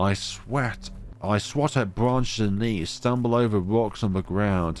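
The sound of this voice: The reading voice here is an unforced one.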